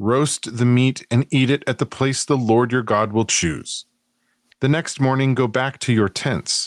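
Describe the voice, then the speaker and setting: An unremarkable speaking voice from a man of medium pitch comes at a fairly slow pace. The sound is dry and close with no echo, on a very clean recording with a silent background. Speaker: podcaster guest. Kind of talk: reading aloud scripture and casual chat.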